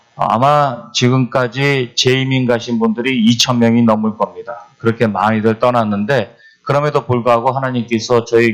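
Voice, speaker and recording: The pace is moderate. A man speaks at a medium pitch. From Argentina (emigrated from Korea as a child). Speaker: pastor. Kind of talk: seminar talk. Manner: halting, many fillers.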